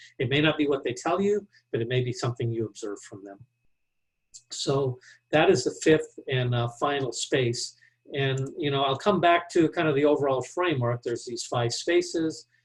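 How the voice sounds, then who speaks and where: A man's fairly high, somewhat breathy voice shows ordinary pitch variation and big swings in loudness. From Texas. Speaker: business leadership speaker. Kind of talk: Q&A answer; webinar presentation. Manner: fast.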